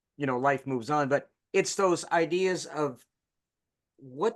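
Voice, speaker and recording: A man talks in an unremarkable speaking voice. He holds a moderate pace with ordinary pitch variation. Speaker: podcast host. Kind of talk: interview host talk.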